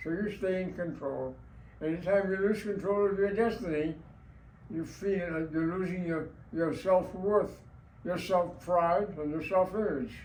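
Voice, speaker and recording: A man talks at a high pitch and a fairly slow pace. His intonation is fairly even. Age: 80s+. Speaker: war veteran. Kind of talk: interview answer.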